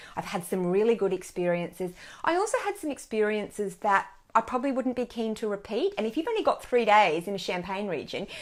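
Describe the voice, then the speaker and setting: A woman with an Australian accent talks at a fairly quick pace, her medium-pitched voice carrying lively intonation. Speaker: wine blogger. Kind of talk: casual chat. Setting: Facebook live video. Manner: loud.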